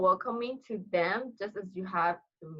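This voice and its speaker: A woman with a Burmese accent speaks at a medium pitch. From Myanmar (Kachin community). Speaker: international student, future teacher. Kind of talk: casual interview chat.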